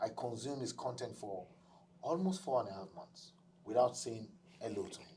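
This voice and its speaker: At a moderate pace, a man speaks with lively intonation in a dark, mellow, somewhat breathy tone. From Africa. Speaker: podcast host. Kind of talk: casual chat.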